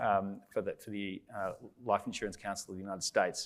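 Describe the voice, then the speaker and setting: Very fast speech from a man with an Australian accent and fairly low pitch, in a very clean recording with a silent background. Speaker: panel moderator, consultant. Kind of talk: conference panel moderation.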